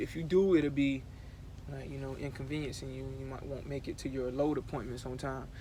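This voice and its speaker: At a fairly quick pace, a man talks with audible room echo. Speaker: truck driver vlogger. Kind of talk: casual vlog tour. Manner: fast; rambling, casual.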